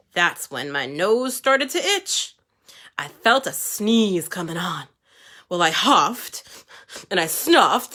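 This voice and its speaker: In a put-on character voice pitched high, a man talks at a fairly slow pace. Long pauses come often. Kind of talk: storytime read-aloud for kids. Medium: read story. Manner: conversational, wheedling.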